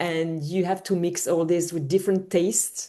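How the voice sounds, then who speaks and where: Against a quiet background, a woman with a French accent speaks in a fairly low voice with a dark, mellow tone. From France. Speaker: home organizer. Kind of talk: panel talk. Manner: halting.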